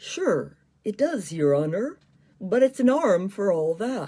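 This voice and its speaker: A female-sounding, put-on character voice speaks fairly slowly at a middle pitch. Its pitch swings very widely. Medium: read story. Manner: deferential.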